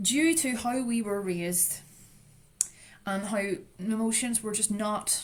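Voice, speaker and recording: There is audible room echo. A woman speaks with a Northern Irish accent. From Northern Ireland, Strabane. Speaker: trauma recovery educator. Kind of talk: lecture. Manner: loud.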